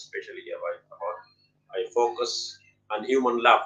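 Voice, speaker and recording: A man speaks with a Pashto accent. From Pakistan, Pashto-speaking. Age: 50s. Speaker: poet and English teacher. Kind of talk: interview. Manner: halting, many fillers.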